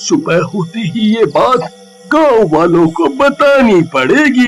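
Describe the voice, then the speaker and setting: A man puts on a cartoonish character voice, pitched high and delivered at a very slow pace. Faint music plays in the background. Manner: earnest, urgent.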